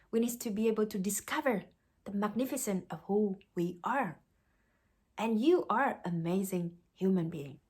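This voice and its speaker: Somewhat breathy, a woman with a Vietnamese accent speaks with lively intonation and long, frequent pauses. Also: medium pitch for a woman, moderate pace. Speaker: life coach. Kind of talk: motivational talk. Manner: halting.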